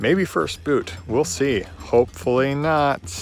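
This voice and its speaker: With music playing in the background, a man talks in an American accent. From Washington state, US Pacific Northwest. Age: 20s. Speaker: reality game contestant, engineer. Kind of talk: confessional self-introduction. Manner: halting, many fillers.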